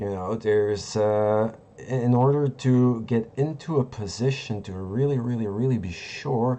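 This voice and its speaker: At a fairly slow pace with hardly any pauses, a man speaks at medium pitch with ordinary pitch variation. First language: not English. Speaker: crypto trading streamer. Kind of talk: live market analysis stream. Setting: live stream. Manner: halting, searching for words.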